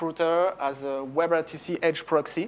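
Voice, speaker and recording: With a French accent, a man speaks at a fairly slow pace in a fairly high pitch and fairly even intonation. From France. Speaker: software company executive. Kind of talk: conference talk. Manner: halting, many fillers.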